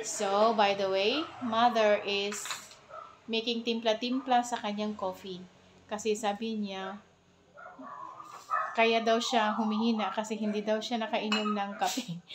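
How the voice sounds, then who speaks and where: Over noticeable background noise, a woman with a fairly high pitch talks at a fairly slow pace in a monotone, flat intonation, with long, frequent pauses. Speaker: cooking vlogger. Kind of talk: casual vlog chat. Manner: speaking loud on purpose.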